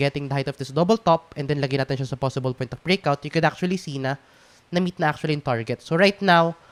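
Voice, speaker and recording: The speech runs at a very fast pace with ordinary pitch variation. The sound is dry and close, with no echo. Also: man. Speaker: crypto trading analyst. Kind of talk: casual technical analysis talk to camera.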